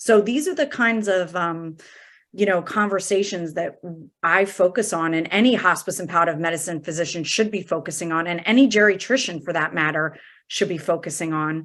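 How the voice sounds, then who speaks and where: A normal speaking voice talks at a fairly quick pace with ordinary pitch variation. The recording is very clean, with a silent background. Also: woman, fairly low pitch for a woman. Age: 40s. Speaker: hospice and palliative medicine physician. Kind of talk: interview conversation.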